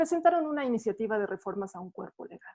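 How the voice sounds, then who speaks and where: A woman speaks at a fairly quick pace. Her pitch is fairly high. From Mexico. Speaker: philosopher and feminist activist. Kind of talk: prepared talk. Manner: fast.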